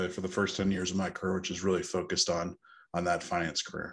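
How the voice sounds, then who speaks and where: A man with an American accent at a fairly low pitch and fairly quick pace, over a quiet background. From Northern California. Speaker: co-living company founder; podcast guest. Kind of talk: interview. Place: home room. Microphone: earbuds.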